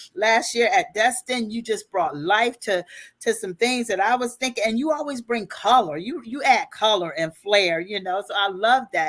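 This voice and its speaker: Moving at a moderate pace with hardly any pauses, a woman speaks at a fairly high pitch that swings very widely. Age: 60s. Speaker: life and business coach. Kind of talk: interview.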